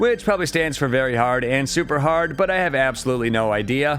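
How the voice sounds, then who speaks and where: A man's fairly high voice at a fairly quick pace, ordinary pitch variation, with music playing behind him. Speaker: retro game reviewer. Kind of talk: game review narration. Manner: fast.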